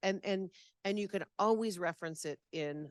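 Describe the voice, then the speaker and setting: A woman speaks at a moderate pace with a fairly low pitch and ordinary pitch variation, the sound dry and close with no echo. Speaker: seminar presenter on listing rules. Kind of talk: audience Q&A at a seminar. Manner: loud.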